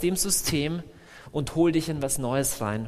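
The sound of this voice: The voice moves at a fairly slow pace with ordinary pitch variation.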